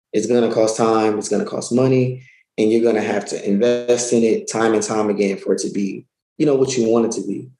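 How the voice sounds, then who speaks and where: Audible room echo surrounds a man with a dark, mellow tone who speaks at a fairly quick pace. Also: medium pitch for a man, fairly even intonation. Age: 30s. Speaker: self-published author; guest. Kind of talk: interview conversation. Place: home room. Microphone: webcam.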